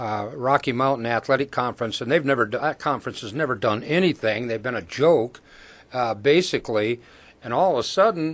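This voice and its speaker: A man's ordinary speaking voice at a medium pitch, with ordinary pitch variation and a fairly quick pace, over a quiet background. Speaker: college football commentator. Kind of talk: radio sports roundtable discussion.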